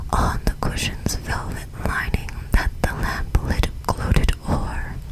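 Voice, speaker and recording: Very slow whispering comes with noticeable noise in the background. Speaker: ASMR creator. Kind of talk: poetry reading; ASMR storytelling. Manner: whispered.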